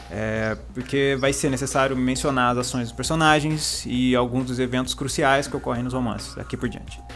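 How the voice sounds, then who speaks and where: A man talks in a strong Paraná accent with hardly any pauses. Music plays in the background. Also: moderate pace. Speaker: book YouTuber. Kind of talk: literary lecture video. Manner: hesitant, many fillers; formal.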